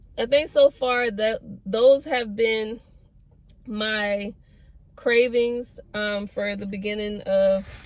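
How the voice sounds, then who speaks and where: Delivered at a very slow pace with long, frequent pauses, the speech has fairly even intonation but big swings in loudness. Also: woman, fairly high pitch for a woman. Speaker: pregnancy vlogger and cosmetologist. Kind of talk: casual vlog talk to camera. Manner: monotone; hesitant, many fillers.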